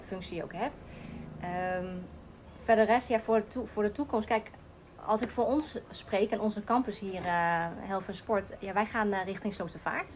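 The pace is moderate. A woman is speaking, with ordinary pitch variation. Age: 30s. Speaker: teacher. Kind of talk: casual interview. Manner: halting.

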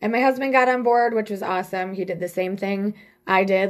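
A woman talks at a fairly quick pace in an ordinary speaking voice. Her intonation is lively. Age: 40s. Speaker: salon owner and hairstylist. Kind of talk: casual interview chat.

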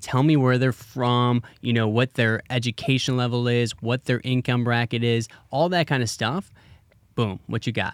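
A man with an unremarkable speaking voice talks at a medium pitch and moderate pace, keeping very even loudness. The sound is dry and close with no echo, a very clean recording with a silent background. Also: fairly even intonation. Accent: American. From Wisconsin, US Midwest. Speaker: marketing agency CEO. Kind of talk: casual interview.

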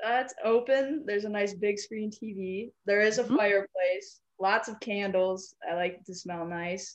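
An unremarkable speaking voice, this woman's medium pitch and ordinary pitch variation carry at a moderate pace with hardly any pauses and big swings in loudness. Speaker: company executive. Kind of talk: guided visualization.

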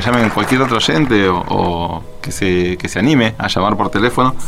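Fairly low-pitched male speech at a moderate pace, with ordinary pitch variation and crowd noise in the background. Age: 40s. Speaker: radio host. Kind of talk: casual radio show. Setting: radio studio.

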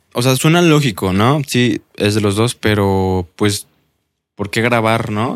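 A man speaks at a very slow pace in a fairly low pitch. The recording is very clean, with a silent background. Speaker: podcast host. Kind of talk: casual interview chat.

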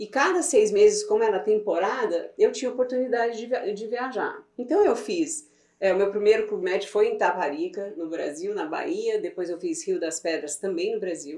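With very wide swings in her fairly high pitch, this woman talks at a moderate speed. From Brazil, Goiás (Goiânia). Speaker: immigration legal services business owner. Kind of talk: casual interview.

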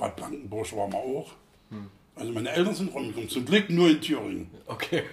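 Lively intonation from a man at a medium pitch. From Thuringia, East Germany. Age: 60s. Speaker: football fan veteran. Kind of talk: interview.

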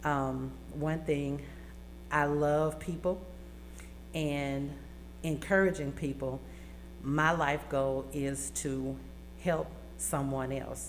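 A woman with an Arkansas accent at a very slow pace, with long, frequent pauses and audible room echo. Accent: Southern US (Arkansas). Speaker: college student. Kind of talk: radio interview. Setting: radio studio.

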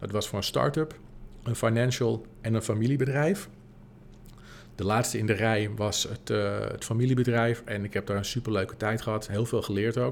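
Medium in pitch for a man, his is an ordinary speaking voice. The pace is moderate and the intonation fairly even. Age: 40s. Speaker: podcast host and business coach. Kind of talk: solo podcast monologue. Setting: empty office.

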